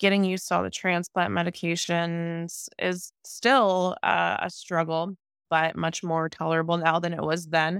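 With a normal speaking voice and an American accent, a woman speaks at a moderate pace with a fairly low pitch and fairly even intonation, in a very clean recording with a silent background and a dry, close sound with no echo. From US Midwest, Ohio. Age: 30s. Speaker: bodybuilder and heart transplant recipient. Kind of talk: interview storytelling.

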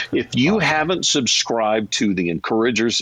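A man with an ordinary speaking voice and fairly low pitch talks at a fairly quick pace in a dry, close sound with no echo. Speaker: radio consultant and host. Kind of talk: live panel hosting. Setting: audio chat app room.

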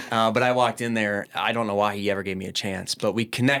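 On a very clean recording with a silent background, a man with an American accent speaks fairly quickly at a fairly low pitch, his bright, sharp tone held to fairly even intonation. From Minneapolis, Minnesota. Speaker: business owner. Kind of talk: podcast interview. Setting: studio.

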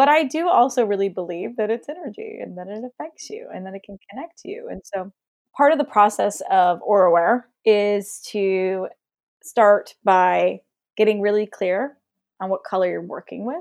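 Featuring an unremarkable speaking voice, a woman talks at a moderate pace and medium pitch with lively intonation and big swings in loudness. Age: 30s. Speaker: color intuitive. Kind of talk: casual chat.

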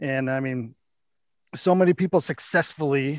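Against a quiet background, a man with a normal speaking voice talks at a fairly high pitch with ordinary pitch variation, the sound dry and close with no echo. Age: 40s. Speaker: retired soldier and management consultant. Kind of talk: casual interview.

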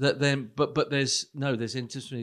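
Against a quiet background, the speech runs at a very fast pace with fairly even intonation. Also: man. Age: 60s. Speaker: pastor. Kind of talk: casual chat.

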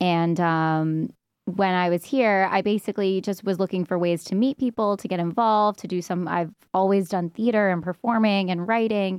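In a New York accent, a woman speaks at a medium pitch and a moderate pace with fairly even intonation. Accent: New York American. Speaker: stand-up comedian. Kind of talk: casual chat.

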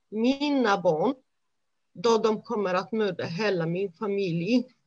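A fairly high-pitched woman's voice at a very slow pace, with ordinary pitch variation. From Romania. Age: 30s. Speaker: honour violence survivor. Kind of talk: testimony. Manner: halting.

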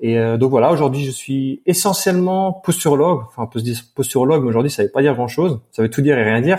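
In a very clean recording with a silent background, a man speaks very fast with hardly any pauses, his fairly high, somewhat breathy voice dark and mellow in tone, with lively intonation. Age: 20s. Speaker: posturologist and strength coach. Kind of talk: interview.

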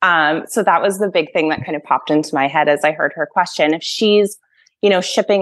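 Here a woman with an American accent has an unremarkable speaking voice, fairly low in pitch with ordinary pitch variation. She keeps a moderate pace against a quiet background. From Massachusetts, US. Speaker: former horse professional, project manager. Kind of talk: casual interview chat.

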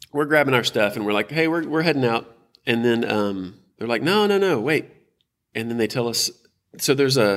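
A man with a Texan accent speaks at a medium pitch and a fairly quick pace with lively intonation, in a very clean recording with a silent background. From Texas, South Houston. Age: 40s. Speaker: nonprofit leader. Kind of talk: casual interview.

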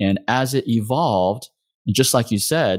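With an American accent, a man talks in an ordinary speaking voice with lively intonation. The recording is very clean and dry, close-up, with a silent background and no echo. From Texas. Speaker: acupuncturist and practice owner. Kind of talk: interview conversation.

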